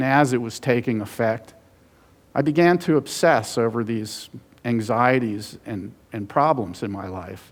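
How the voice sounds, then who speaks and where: A normal speaking voice from a man, medium in pitch with ordinary pitch variation, at a fairly slow pace in a very clean recording with a silent background. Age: 60s. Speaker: author and journalist. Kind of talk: conference talk.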